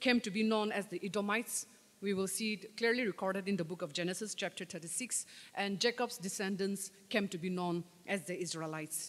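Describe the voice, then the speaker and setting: A woman speaks at a fairly quick pace. Her pitch is medium. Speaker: lay preacher; preacher. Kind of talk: sermon. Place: church. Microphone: podium.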